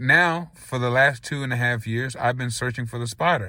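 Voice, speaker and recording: A man's medium-pitched voice at a moderate pace, on a very clean recording with a silent background. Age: 30s. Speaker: conspiracy vlogger. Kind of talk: casual monologue to camera. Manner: repetitive, halting.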